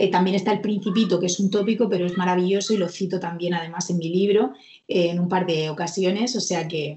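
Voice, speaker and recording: Somewhat breathy, a woman speaks at medium pitch with fairly even intonation. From Murcia, Spain. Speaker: court clerk and exam coach. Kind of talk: interview.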